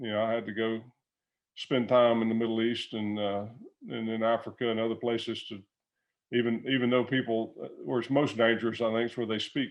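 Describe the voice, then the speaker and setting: With an American accent, a man at a medium pitch speaks at a fairly quick pace, his intonation monotone and flat. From US South, Alabama. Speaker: retired business executive. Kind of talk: interview. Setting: video call. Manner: conversational, many fillers and repeated words.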